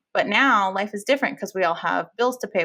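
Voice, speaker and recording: A woman talks with a bright, sharp tone and ordinary pitch variation. Vocal fry shows up in her voice. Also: very clean recording, silent background. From Fresno, California. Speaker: marriage and family therapist. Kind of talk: podcast interview.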